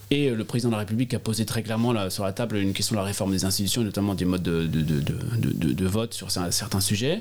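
Very fast pace from a man, with ordinary pitch variation. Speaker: politician. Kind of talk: interview. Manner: halting, many repetitions and hesitations.

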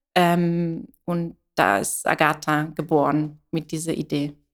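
A woman speaks with an Italian accent. The recording is very clean, with a silent background. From Italy. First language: Italian (speaking German). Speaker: coffee roaster and business founder. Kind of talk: interview. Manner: hesitant, many fillers.

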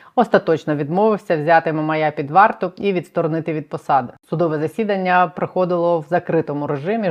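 A woman with a plain, everyday voice talks at a fairly low pitch and a fairly quick pace, with ordinary pitch variation and hardly any pauses. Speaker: journalist, channel host. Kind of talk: news presentation and interview. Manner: formal.

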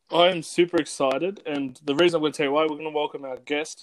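A man with an Australian accent talks at a very fast pace. His fairly high voice has fairly even intonation. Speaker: podcast co-host. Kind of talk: casual interview chat. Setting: remote recording.

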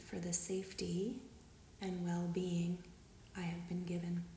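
The voice has a calm, soothing tone and a fairly slow pace. There is noticeable background noise behind it. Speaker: guided meditation leader. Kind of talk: guided meditation, read aloud from a script. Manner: slow, calm and soothing, with long pauses between phrases; gentle, warm and unhurried, reading in a measured way.

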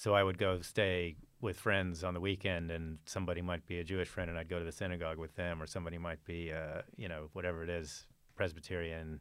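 A man with a Texan accent talks at a very fast pace. His very deep, low voice stays in a monotone, flat intonation. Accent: Texan American. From Texas, Fort Worth. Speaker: churchgoer sharing conversion story. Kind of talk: testimony.

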